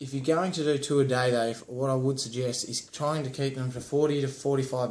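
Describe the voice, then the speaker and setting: This is an unremarkable speaking voice. The pace is fairly quick and the intonation fairly even. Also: man. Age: 20s. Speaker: fitness vlogger. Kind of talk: tutorial. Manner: casual.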